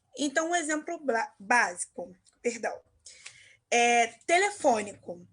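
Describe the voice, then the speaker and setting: With a Carioca accent, a woman speaks at a very slow pace in a high, bright, sharp voice with very wide pitch swings. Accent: carioca Brazilian Portuguese. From Rio de Janeiro, Zona Norte. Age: 20s. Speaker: marketing entrepreneur. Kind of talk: interview.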